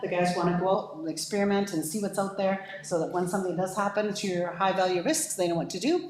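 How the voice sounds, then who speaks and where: A woman speaks at a fairly quick pace in a medium pitch. Audible room echo and noticeable background noise fill the recording. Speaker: fire services consultant. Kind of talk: presentation to council. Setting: council meeting. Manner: fast.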